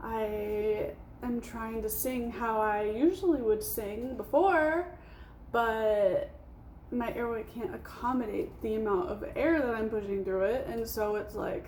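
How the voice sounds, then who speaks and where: A woman speaks at a fairly slow pace with a fairly high pitch and lively intonation, her voice carrying audible room echo over noticeable background noise. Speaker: vlogger. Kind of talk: casual monologue vlog.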